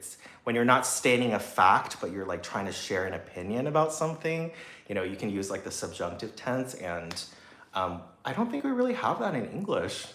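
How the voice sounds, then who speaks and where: A man with a General American accent at a moderate pace, with noticeable background noise and audible room echo. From US, Taiwanese American family. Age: 30s. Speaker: singer and YouTuber. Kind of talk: casual livestream chat. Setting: livestream. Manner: halting, many fillers and restarts.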